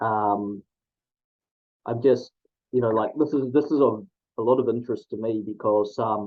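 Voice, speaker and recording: Speaking at a moderate pace with a medium pitch and fairly even intonation, a man leaves long, frequent pauses. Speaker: athletics statistician, interviewer. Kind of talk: interview questions. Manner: hesitant, many fillers.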